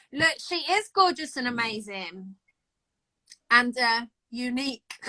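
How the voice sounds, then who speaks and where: Loud and bright, with a sharp tone, a woman speaks at a fairly slow pace in a high pitch with lively intonation. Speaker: amateur bodybuilder. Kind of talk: casual chat. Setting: Instagram live video.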